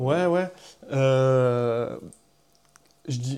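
Dark and mellow in tone, a man talks at a medium pitch. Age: 20s. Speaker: electronic music artist and sound engineer. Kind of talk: interview.

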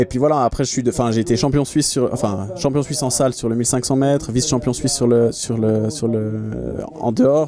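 A man with an ordinary speaking voice talks at a fairly quick pace, his medium pitch carrying fairly even intonation. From Switzerland, Geneva. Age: 30s. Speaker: professional triathlete. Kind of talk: interview. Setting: in a van.

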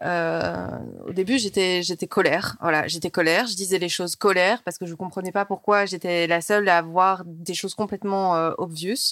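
With a normal speaking voice, a woman talks at a moderate pace in a medium pitch with fairly even intonation, the sound dry and close with no echo. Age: 30s. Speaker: television journalist. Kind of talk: casual interview.

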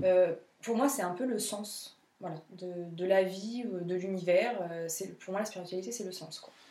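A woman speaks at a fairly slow pace with medium pitch and ordinary pitch variation, her loudness swinging widely, amid audible room echo and noticeable background noise. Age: 30s. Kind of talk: casual interview about spirituality.

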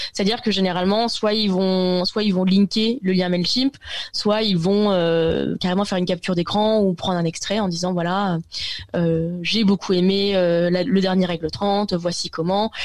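The woman's voice is medium in pitch with fairly even intonation. She keeps a moderate pace and very even loudness. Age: 20s. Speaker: tech journalist. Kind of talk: interview. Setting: video call. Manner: halting, many hesitations.

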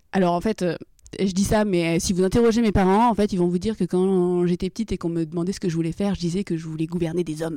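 A woman speaks at a very fast pace in a dark, mellow tone, with a fairly low pitch and fairly even intonation. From Brittany, France (Rennes). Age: 20s. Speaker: logistics operations manager. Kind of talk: interview. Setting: on location.

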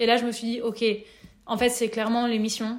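A woman is speaking. Her pitch is high. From France, Nevers. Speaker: workshop facilitator. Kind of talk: interview.

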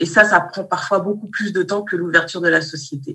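At a moderate pace, a woman speaks in an unremarkable speaking voice with a fairly low pitch and fairly even intonation. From Malian heritage, raised in France. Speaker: teacher and business consultant. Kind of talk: interview.

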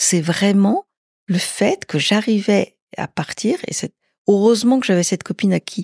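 Recorded very cleanly against a silent background, a woman speaks in a normal speaking voice at a moderate pace, medium in pitch with ordinary pitch variation, and the sound is dry and close with no echo. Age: 60s. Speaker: interviewee sharing personal experience. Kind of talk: casual interview. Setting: at her home.

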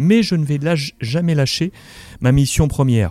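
Fairly high for a man, this voice has a dark, mellow tone and lively intonation. The sound is dry and close, with no echo. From Morocco. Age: 40s. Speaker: sports journalist. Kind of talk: interview.

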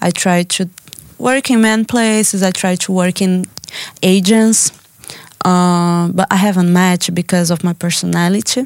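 Recorded dry and close with no echo, the voice carries a Brazilian accent at very even loudness. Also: woman, medium pitch for a woman, fairly even intonation, moderate pace. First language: Portuguese. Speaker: artist. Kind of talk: interview. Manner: halting.

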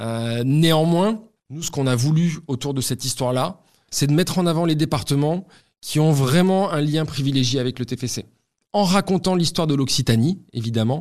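On a very clean recording with a silent background, a man with a plain, everyday voice talks at a moderate pace, fairly high in pitch with ordinary pitch variation. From Toulouse, southwestern France. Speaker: football club marketing director. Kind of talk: interview testimony.

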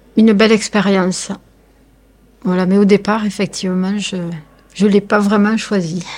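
With monotone, flat intonation and long, frequent pauses, a woman speaks at a medium pitch. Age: 40s. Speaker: caregiver, home care worker. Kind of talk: interview testimony. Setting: temporary radio studio at an event.

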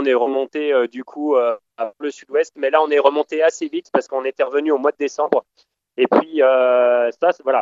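Delivery from this man is moderately paced. His voice sits fairly high. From France. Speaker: traveller. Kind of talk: casual chat. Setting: phone call.

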